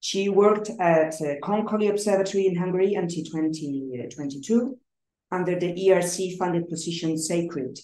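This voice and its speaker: At a moderate pace, a woman talks in a fairly low voice with a dark, mellow tone. Her pitch variation is ordinary, and room echo is audible. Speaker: colloquium organizer. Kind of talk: speaker introduction. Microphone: video call.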